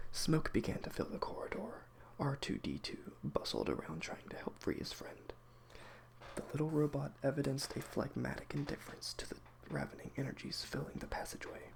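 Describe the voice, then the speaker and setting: Someone is whispering. The pace is fairly quick. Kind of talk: audiobook reading. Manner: soft-spoken.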